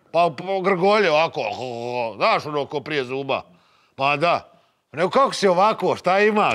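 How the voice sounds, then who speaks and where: A man talks at a high pitch. The background is quiet. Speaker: sitcom actor playing office worker. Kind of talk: comedic acted dialogue. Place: office.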